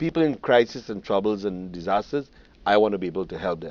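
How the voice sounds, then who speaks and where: Against a quiet background, a fairly low-pitched man speaks at a fairly quick pace with ordinary pitch variation. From Trinidad. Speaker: spiritual leader. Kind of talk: TV interview. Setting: TV studio.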